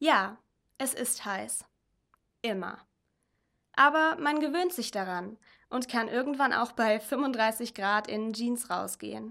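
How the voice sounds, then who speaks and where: The voice has a bright, sharp tone and moves at a very slow pace, broken by long, frequent pauses. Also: woman, fairly high pitch for a woman, lively intonation, very clean recording, silent background. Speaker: mission volunteer. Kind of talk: reading aloud.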